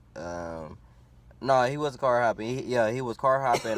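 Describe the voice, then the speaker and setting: A man speaking at a moderate pace. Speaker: YouTuber telling stories. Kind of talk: storytime. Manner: loud.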